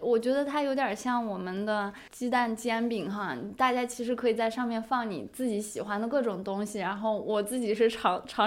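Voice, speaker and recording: The speaker is a woman. Noticeable background noise runs under her voice. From Inner Mongolia, China. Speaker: podcast host. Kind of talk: casual chat.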